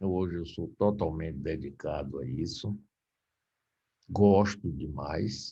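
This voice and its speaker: Marked by vocal fry and a dark, mellow tone, a man speaks at a very slow pace. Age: 70s. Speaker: radio broadcaster and former politician. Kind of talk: lecture. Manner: casual.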